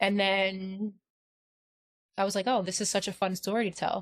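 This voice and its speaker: In a New York accent, a woman speaks at a moderate pace on a very clean recording with a silent background. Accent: Staten Island. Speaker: podcast co-host. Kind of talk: casual chat. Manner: animated.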